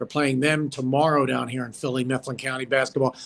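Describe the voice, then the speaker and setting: A man with a normal speaking voice, medium pitch and a fairly quick pace. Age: 60s. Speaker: former sports broadcaster. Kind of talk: casual chat.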